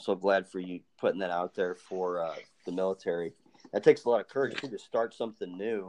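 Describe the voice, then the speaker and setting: A normal speaking voice goes at a fairly quick pace with fairly even intonation. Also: man. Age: 30s. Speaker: podcast host. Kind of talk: casual chat.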